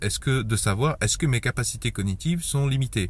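A somewhat breathy man swings his pitch very widely, recorded with a dry sound and no echo. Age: 30s. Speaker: YouTuber giving personal finance advice. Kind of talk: online video monologue. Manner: halting. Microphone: phone near.

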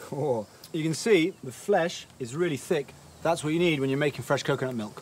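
A man talks at a fairly quick pace with ordinary pitch variation. Light background noise sits behind him. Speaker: travel food show host. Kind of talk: casual presenter commentary. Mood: playful, joking. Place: open country. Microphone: lapel.

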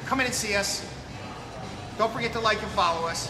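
Clear music plays in the background. Over it, a man speaks in a raised, projected voice. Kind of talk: casual product promotion live stream. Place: shop. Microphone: camera far.

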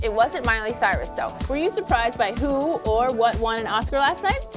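Clear music can be heard behind the voice. The woman keeps to a moderate pace. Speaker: talk show host. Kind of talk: talk show host read to camera. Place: studio. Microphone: lapel.

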